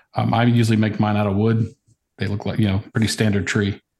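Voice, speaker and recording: A man with an American accent, a normal speaking voice, fairly low pitch and fairly even intonation. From Virginia, US. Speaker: woodworker. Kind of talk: casual chat.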